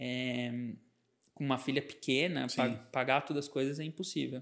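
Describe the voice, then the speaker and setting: A man with an unremarkable speaking voice, fairly even intonation and a moderate pace, on a very clean recording with a silent background. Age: 30s. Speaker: advertising and branding agency founder. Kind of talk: podcast interview.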